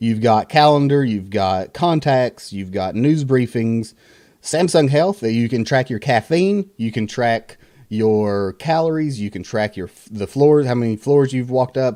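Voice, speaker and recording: With a Southern US accent, the speaker uses a dark, mellow tone, lively intonation and big swings in loudness at a fairly slow pace. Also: man, medium pitch for a man, very clean recording, silent background. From US South. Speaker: tech reviewer, content creator. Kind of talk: tech review. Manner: casual, many fillers.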